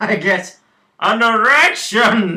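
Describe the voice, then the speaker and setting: In a high, put-on character voice, a man performs. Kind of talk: comic overacting. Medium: comedy sketch. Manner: formal, pompous, stiff phrasing.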